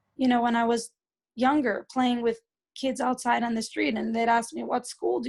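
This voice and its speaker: This woman has a fairly high, somewhat breathy voice and talks at a fairly quick pace. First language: Yiddish. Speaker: speaker at a community event. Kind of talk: talk and interview before an audience. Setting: community event with audience. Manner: hesitant, many fillers and repeats.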